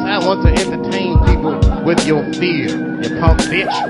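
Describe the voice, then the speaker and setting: Loud music plays in the background while a man speaks at a fairly slow pace. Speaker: comedian. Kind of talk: comedic poetry performance to live audience. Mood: wry, comedic, rhythmic. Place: stage. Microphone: handheld.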